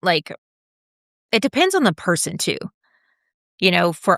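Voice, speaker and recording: A woman with an American accent is heard in a very clean recording with a silent background and a dry, close sound with no echo. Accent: Georgia accent, comes out occasionally. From US South, Georgia (Atlanta). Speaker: interior designer. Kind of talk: casual interview chat.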